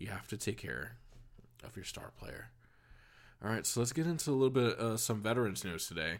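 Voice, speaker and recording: Speaking fairly quickly in an American accent, a man with a medium pitch and vocal fry uses lively intonation, big swings in loudness, and long, frequent pauses. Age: 30s. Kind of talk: casual monologue.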